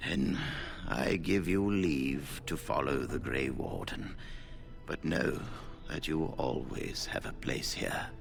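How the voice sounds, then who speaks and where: Clear music plays in the background while a man uses a put-on character voice at a fairly slow pace. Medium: video game. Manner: dignified, measured.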